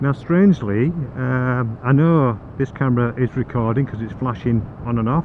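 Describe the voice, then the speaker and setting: In a Yorkshire accent, a man with a medium pitch talks at a fairly slow pace with ordinary pitch variation. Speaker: motorcycle vlogger. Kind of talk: casual chat. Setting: riding a motorbike outdoors.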